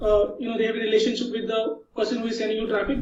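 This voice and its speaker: This man talks at a very fast pace, his pitch high. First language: not English. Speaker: online marketer. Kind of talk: interview. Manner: halting.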